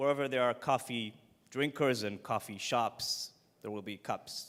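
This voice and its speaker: A man with an Israeli accent speaks at a fairly slow pace on a very clean recording with a silent background. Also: medium pitch for a man. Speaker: startup founder. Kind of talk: pitch presentation.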